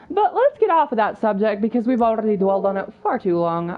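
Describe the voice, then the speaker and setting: Against noticeable background noise, a woman speaks at a very fast pace and medium pitch. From Russia, Moscow. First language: Russian. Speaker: gaming streamer. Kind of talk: casual chat. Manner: animated.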